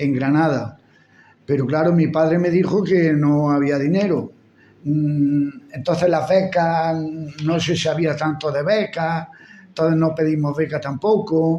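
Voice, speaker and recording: A man speaks at a fairly slow pace in a dark, mellow tone. His pitch sits fairly high for a man. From Andalusia, Spain (Úbeda, Jaén). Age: 70s. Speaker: retired schoolteacher. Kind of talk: life story interview.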